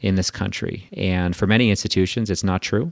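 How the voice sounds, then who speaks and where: Pitched fairly low, a man with a normal speaking voice talks at a fairly quick pace with fairly even intonation, in a dry, close sound with no echo and a very clean recording with a silent background. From Quebec, Canada. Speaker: investment firm managing director and author. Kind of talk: casual interview.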